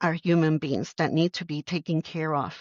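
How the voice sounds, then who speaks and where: Speaking at a moderate pace with a Puerto Rican accent, a woman uses a fairly low pitch and fairly even intonation. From Puerto Rico. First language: Spanish. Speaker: army general. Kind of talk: interview.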